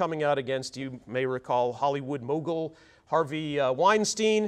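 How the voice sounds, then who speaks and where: Pitched fairly high, a man speaks at a fairly slow pace. His pitch varies in an ordinary way. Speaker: employment lawyer. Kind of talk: seminar presentation. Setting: seminar room with audience, mic'd up. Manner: loud; frequent filler words.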